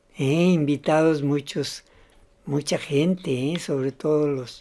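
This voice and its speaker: Her tone dark and mellow, a woman talks at a very slow pace. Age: 80s+. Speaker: online political news commentator. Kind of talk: casual commentary monologue. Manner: halting, with frequent repetitions.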